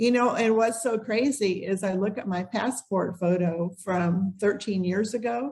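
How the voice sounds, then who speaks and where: Her medium-pitched voice is somewhat breathy. The woman speaks fairly slowly with ordinary pitch variation. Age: 60s. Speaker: relocation tour business owner. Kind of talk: podcast interview.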